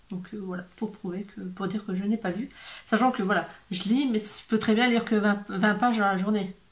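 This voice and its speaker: Noticeable noise sits in the background. The speaker keeps a moderate pace and fairly even intonation. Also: woman, medium pitch for a woman. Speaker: book youtuber. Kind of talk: casual vlog talk. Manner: hesitant, many fillers.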